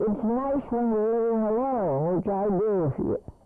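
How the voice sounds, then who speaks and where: Fairly slow delivery and lively intonation over background music. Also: woman. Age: 80s+. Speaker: meal program recipient. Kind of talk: testimony.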